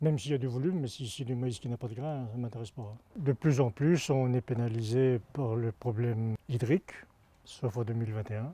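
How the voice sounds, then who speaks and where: A somewhat breathy, dark and mellow tone at a fairly quick pace. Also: man, medium pitch for a man, ordinary pitch variation, dry, close sound with no echo. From Normandy, France. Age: 60s. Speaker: farmer. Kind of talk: testimony. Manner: halting, with repetitions and fillers.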